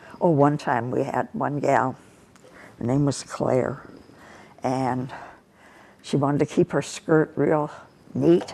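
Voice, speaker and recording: With a Midwestern American accent, the dark, mellow voice moves at a very slow pace with ordinary pitch variation and long, frequent pauses. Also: woman, very deep, low pitch for a woman. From US Midwest, St. Louis. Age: 80s+. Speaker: war veteran. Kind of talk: interview. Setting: office.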